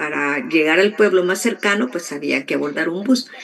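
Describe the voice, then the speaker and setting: This is a woman's voice. It sits at a medium pitch. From El Salvador, rural. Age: 60s. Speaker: interviewee sharing life story. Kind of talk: testimony interview.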